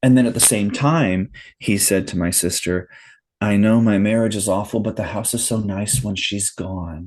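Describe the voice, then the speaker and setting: Against a quiet background, a man with a plain, everyday voice speaks at a moderate pace, his fairly low pitch showing ordinary variation. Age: 50s. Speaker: podcast guest, listener sharing his story. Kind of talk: casual interview conversation.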